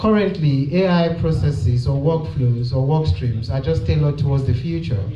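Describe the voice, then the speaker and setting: With noticeable background noise and audible room echo, a man speaks at a medium pitch with lively intonation. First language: native language other than English. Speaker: tech speaker. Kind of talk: conference presentation.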